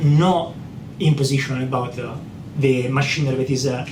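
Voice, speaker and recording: A man talks in an Italian accent. Audible room echo surrounds his voice. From Italy. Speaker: software identity expert. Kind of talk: technical interview.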